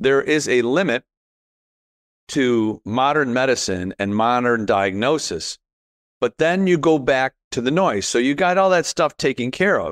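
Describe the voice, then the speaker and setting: Heard dry and close with no echo against a quiet background, a man has a normal speaking voice at a medium pitch with lively intonation. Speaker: podcast host. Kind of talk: casual interview chat.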